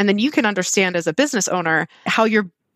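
Recorded very clean with a silent background and a dry, close sound with no echo, a woman speaks at a fairly quick pace with lively intonation. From Southern California. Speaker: nonprofit director. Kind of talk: interview.

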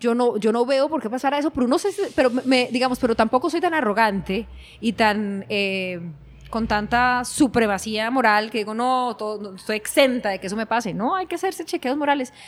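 Here is a woman with an unremarkable speaking voice and a fairly high pitch. She talks at a moderate pace with lively intonation. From Colombia, Cali. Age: 40s. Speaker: innovation consultant. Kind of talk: interview conversation.

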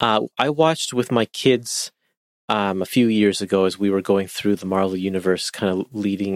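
An unremarkable speaking voice, this man talks with a Canadian accent and ordinary pitch variation in a very clean, dry, close recording with a silent background and no echo. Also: fairly low pitch for a man, moderate pace. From Canada. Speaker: podcast host, guest. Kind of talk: casual chat.

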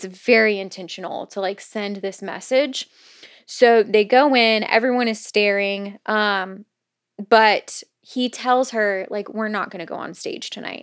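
Here a woman talks in a normal speaking voice, fairly high in pitch. The recording is very clean, with a silent background. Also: fairly even intonation, fairly slow pace, big swings in loudness. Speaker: podcast host. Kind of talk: casual chat.

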